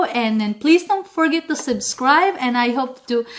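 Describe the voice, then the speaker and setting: A woman with a Philippine accent speaks with lively intonation. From Philippines, Visayas. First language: Bisaya. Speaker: cooking vlogger. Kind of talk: tutorial. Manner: animated.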